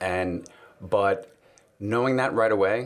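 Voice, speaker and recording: A man speaks in a fairly low pitch. He has a slight New York accent. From New York City. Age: 30s. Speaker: guest. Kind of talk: casual chat.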